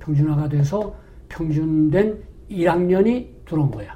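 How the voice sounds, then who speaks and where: A dark, mellow tone with ordinary pitch variation. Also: man. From North Korea. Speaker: retired pastor. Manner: halting, filler-heavy.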